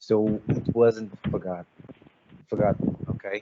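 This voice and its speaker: A man talks at a fairly slow pace with a fairly low pitch. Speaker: crypto project team member. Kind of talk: team Q&A session. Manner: halting.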